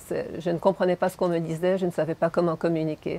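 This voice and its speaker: A woman with a Hungarian accent speaks at a fairly low pitch. Her intonation is monotone and flat. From Montreal, Quebec. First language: Hungarian (speaking French). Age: 60s. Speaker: animal shelter owner. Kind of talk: interview. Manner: hesitant, with repetitions.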